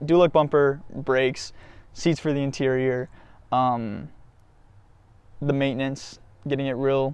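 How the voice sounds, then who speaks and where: A man of medium pitch speaks in monotone, flat intonation. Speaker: car enthusiast YouTuber. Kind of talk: casual vlog monologue. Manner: fast, rambling; casual, many fillers.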